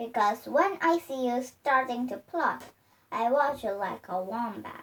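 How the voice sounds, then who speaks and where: A woman puts on a high-pitched, cackling character voice, speaking at a fairly slow pace with lively intonation. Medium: read story. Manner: spiteful, cackling.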